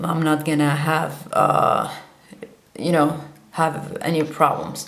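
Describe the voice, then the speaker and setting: With a Kurdish accent, a woman speaks at a very deep, low pitch amid noticeable background noise and audible room echo. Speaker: vlogger. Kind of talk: monologue to camera. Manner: halting.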